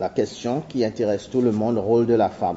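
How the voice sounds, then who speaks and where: There is noticeable background noise as a man speaks with a Seychellois accent. His pitch is medium and his intonation fairly even. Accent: Seychellois Creole accent in French. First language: Seychellois Creole (speaking French). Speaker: anthropologist. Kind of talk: conference talk. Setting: university seminar. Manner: halting.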